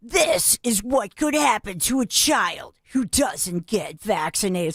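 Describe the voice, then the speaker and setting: This is a fairly high-pitched, put-on character voice. The delivery is fairly slow. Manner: creepy.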